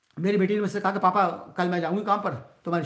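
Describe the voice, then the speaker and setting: Here a man speaks at a very fast pace with fairly even intonation. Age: 60s. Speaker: YouTuber and cashier; YouTuber. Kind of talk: live stream chat with viewers. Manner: conversational, reads viewer comments aloud. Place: home room. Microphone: phone near.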